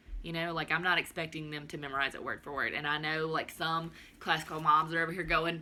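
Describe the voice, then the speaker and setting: A woman with a Southern US accent speaks in an animated tone at a fairly low pitch over noticeable background noise. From US South, southern Alabama. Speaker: homeschooling mom vlogger. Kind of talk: casual video chat, curriculum walkthrough.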